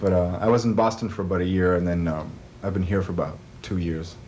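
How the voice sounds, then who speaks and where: Very fast speech from a man with a very deep, low pitch and a dark, mellow tone. Audible room echo surrounds the voice. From France. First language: French. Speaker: music producer and composer. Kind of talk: interview. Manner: halting, many fillers.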